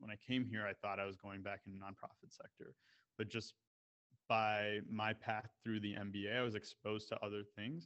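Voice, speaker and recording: A man with an ordinary speaking voice and an American accent, fairly low in pitch, with fairly even intonation at a moderate pace, the sound dry and close with no echo. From Canada and the US, of Indian descent. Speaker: MBA student. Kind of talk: casual interview. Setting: video call.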